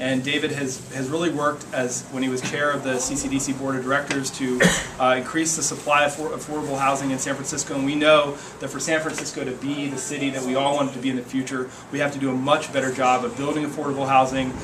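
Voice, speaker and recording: Over noticeable background noise and audible room echo, a man with an American accent talks at a very fast pace in a fairly high pitch, his intonation monotone and flat. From US Midwest. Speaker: legislative aide. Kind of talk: public talk at community meeting. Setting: meeting room with audience. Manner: halting, many repetitions.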